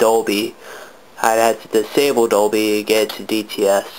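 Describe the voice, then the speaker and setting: A man mumbles at a medium pitch. Noticeable background noise runs underneath. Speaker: gaming video reviewer. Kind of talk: casual tutorial. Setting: home bedroom, behind the camera. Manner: mumbling; hesitant, many fillers.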